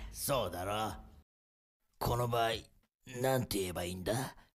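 A man's raspy, put-on character voice, fairly low in pitch, at a moderate pace. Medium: dub.

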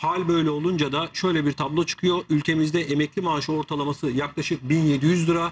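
A man speaks in a flat monotone with very even loudness and hardly any pauses. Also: fairly quick pace, quiet background. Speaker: TV guest. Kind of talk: interview answer. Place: studio.

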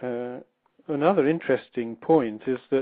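With an RP accent, a man talks at a fairly slow pace in a medium pitch with ordinary pitch variation. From England. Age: 60s. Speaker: literature professor and author. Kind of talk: interview. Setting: phone call.

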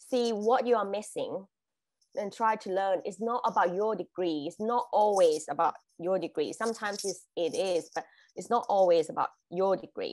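In a Thai accent, a woman talks at a moderate pace with a medium pitch and ordinary pitch variation. The background is quiet. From Thailand. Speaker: international graduate, corporate employee. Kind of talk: webinar presentation. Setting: video call. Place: home room. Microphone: video call.

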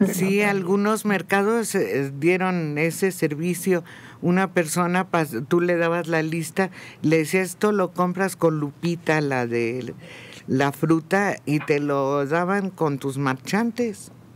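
A man's high-pitched voice with a Mexican accent, at a very slow pace with ordinary pitch variation. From Mexico. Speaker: radio panelist. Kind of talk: radio panel discussion. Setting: radio studio. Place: studio. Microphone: studio mic.

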